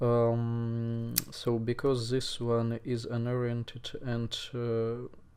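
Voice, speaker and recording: A man with a non-native accent and a dark, mellow tone is heard with audible room echo. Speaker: speedcuber. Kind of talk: tutorial. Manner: halting, many fillers.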